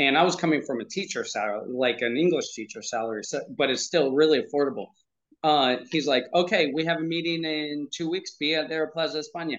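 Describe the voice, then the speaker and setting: Using a normal speaking voice, a man with an American accent and a fairly high pitch talks at a fairly quick pace with ordinary pitch variation. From US, Pennsylvania. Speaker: parenting coach. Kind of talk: interview.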